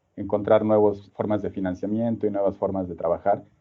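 His intonation is monotone and flat. The man speaks at a fairly quick pace with a fairly low pitch. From Mexico City. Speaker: design professor and researcher. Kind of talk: interview. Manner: halting, many repeated words and fillers.

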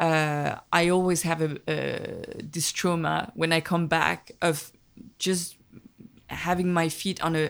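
In a French accent, a woman with a fairly low pitch talks at a very slow pace with fairly even intonation. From Paris, France, of Vietnamese immigrant parents. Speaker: film director. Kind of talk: casual interview conversation. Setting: small temple in a rural valley.

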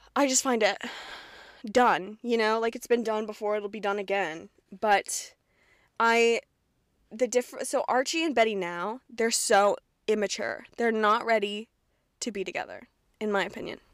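A woman with an American accent speaks at a fairly high pitch, a moderate pace, and ordinary pitch variation. She takes long, frequent pauses, and the recording is very clean with a silent background. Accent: slight Southern, mostly Midwestern-sounding. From Kentucky, US South. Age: 20s. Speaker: podcast host. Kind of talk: casual solo podcast monologue. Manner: casual, chatty, self-deprecating.

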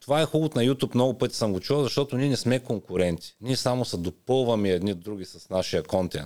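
A man speaks very fast with hardly any pauses, in a dark, mellow tone with lively intonation. The recording is very clean, with a silent background. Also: medium pitch for a man. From Bulgaria, Ruse. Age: 40s. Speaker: personal trainer and YouTuber. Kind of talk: casual interview.

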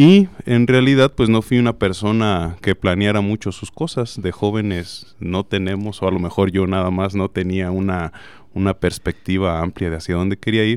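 In an ordinary speaking voice, a man talks at a moderate pace and fairly low pitch with ordinary pitch variation and hardly any pauses. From Nayarit, Mexico. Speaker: engineering professor. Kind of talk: interview.

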